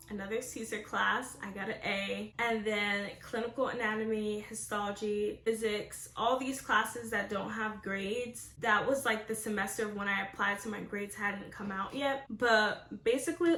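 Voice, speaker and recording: Fairly even intonation from a woman's fairly high voice, moving at a moderate pace amid noticeable background noise. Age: 20s. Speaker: incoming medical student. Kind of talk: casual talk to camera.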